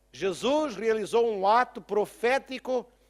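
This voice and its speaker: This man speaks at an extremely high pitch with ordinary pitch variation. His pace is very slow. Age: 60s. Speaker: pastor. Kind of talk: sermon. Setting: church.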